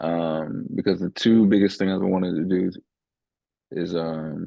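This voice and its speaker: A man's very deep, low voice with a slight Southern US accent, fairly even intonation, a fairly slow pace and long, frequent pauses. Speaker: podcast host. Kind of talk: casual chat.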